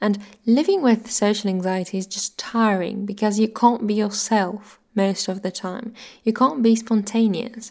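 With an ordinary speaking voice, a woman talks at a fairly slow pace in a fairly high pitch with fairly even intonation. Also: very clean recording, silent background. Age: 20s. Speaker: YouTuber and podcaster. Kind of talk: personal monologue. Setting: audio-only recording.

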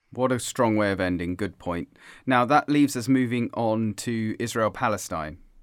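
A man speaks at a moderate pace with a medium pitch. His pitch varies in an ordinary way, and the recording is very clean with a silent background. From England. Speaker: podcast host. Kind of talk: casual chat.

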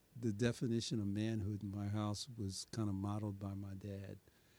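A man speaks at a moderate pace with a fairly low pitch and a dark, mellow tone. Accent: American. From New York City (Brooklyn, Bedford-Stuyvesant). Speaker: community leader. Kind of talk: interview conversation. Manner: reflective.

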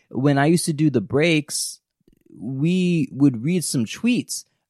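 A man's voice in a very clean recording, silent in the background, with a dry, close sound and no echo. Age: 30s. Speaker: podcast host. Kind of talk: casual chat. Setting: recording at home during quarantine.

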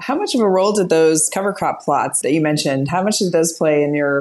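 A woman talks at a very fast pace. Her voice is very deep and low, with ordinary pitch variation. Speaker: podcast co-host. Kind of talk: interview.

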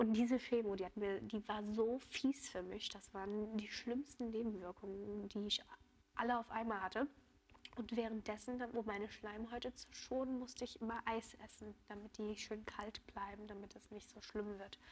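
A woman speaks at a moderate pace in a fairly high, monotone, flat voice. Her loudness swings widely. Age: 20s. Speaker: cancer patient. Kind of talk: interview.

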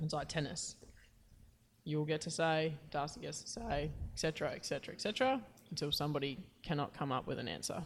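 Speaking at a moderate pace with long, frequent pauses, a woman with an Australian accent has a very deep, low pitch and ordinary pitch variation. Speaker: footballer and podcast co-host. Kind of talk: casual chat.

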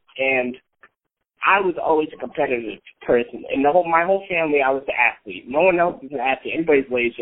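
With an American accent, a man speaks at a fairly quick pace in a fairly high pitch, with ordinary pitch variation and a normal speaking voice. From upstate New York, Scotia. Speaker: amateur MMA fighter. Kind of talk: casual interview. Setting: phone call.

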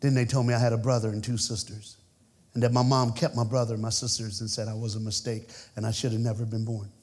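A man talks at a very fast pace and medium pitch, somewhat breathy and animated in tone. Audible room echo surrounds his voice. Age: 50s. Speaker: preacher. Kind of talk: sermon. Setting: church.

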